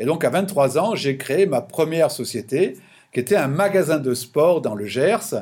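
Speaking fairly slowly, a man uses lively intonation at a fairly high pitch. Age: 60s. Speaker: business consultant. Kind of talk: interview. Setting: remote call from his office. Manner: halting, many repetitions.

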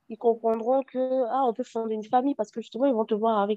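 Her intonation stays monotone and flat while this woman's pitch runs fairly high. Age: 30s. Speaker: HIV activist. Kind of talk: personal testimony interview.

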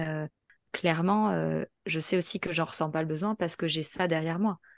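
A woman at fairly low pitch and a moderate pace, on a very clean recording with a silent background. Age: 30s. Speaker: podcast guest sharing personal testimony. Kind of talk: testimony. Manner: halting.

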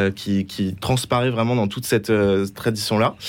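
The man's delivery is at a fairly quick pace. He keeps a fairly even intonation. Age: 20s. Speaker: journalist and author. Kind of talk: radio interview. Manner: hesitant, many fillers.

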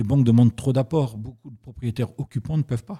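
Somewhat breathy and dark, mellow in tone, a man's voice comes through dry and close with no echo on a very clean recording with a silent background. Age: 50s. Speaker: real estate industry federation president. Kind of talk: interview.

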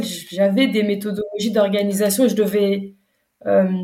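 A woman's fairly high-pitched voice at a moderate pace, with audible room echo. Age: 30s. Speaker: entrepreneur, brand founder. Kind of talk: interview. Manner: hesitant, many fillers.

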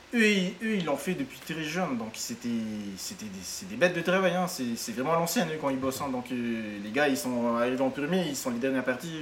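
A fairly high-pitched man with very wide pitch swings and hardly any pauses, amid noticeable background noise. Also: moderate pace. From French Polynesia, Tahiti peninsula. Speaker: hostel owner and entrepreneur. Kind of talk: interview. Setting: at his hostel. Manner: halting, many repetitions.

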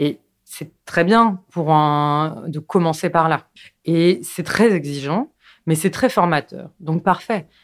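A woman speaks very slowly in a fairly low voice with ordinary pitch variation. The recording is very clean, with a silent background. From Paris and its suburbs, France. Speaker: documentary filmmaker. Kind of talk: interview. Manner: halting, with frequent repetitions.

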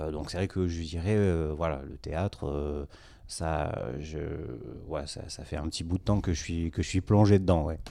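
The tone is dark and mellow at a fairly slow pace. The recording is very clean, with a silent background. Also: man. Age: 30s. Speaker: environmental educator and amateur show organizer. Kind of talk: podcast interview. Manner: halting, many fillers and repetitions.

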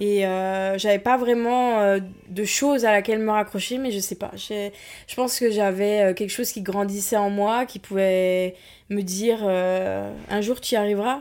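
Speaking at a fairly slow pace, a woman uses an ordinary speaking voice at a medium pitch with fairly even intonation. The recording is very clean, with a silent background. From provincial France. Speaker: podcast guest sharing personal story. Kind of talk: personal testimony.

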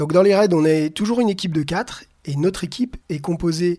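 On a very clean recording with a silent background, a man speaks at a fairly high pitch with ordinary variation. His tone is dark and mellow. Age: 40s. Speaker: PE teacher and adventure racer. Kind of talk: personal race narrative. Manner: animated.

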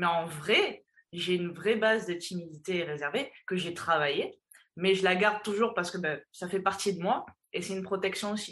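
A woman speaks at a moderate pace and medium pitch with fairly even intonation. Hers is an unremarkable speaking voice. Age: 20s. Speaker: fitness and mental coach. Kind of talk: interview.

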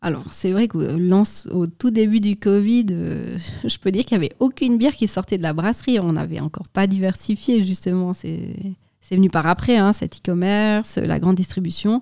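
A woman speaks at a moderate pace and medium pitch, her dark, mellow tone showing ordinary pitch variation and hardly any pauses. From Switzerland, Valais (Sierre). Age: 30s. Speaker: brewery director. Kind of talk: interview.

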